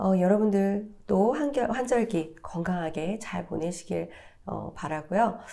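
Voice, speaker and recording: A very slow pace with ordinary pitch variation. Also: woman, medium pitch for a woman. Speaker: talk show co-host. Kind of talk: commentary talk show.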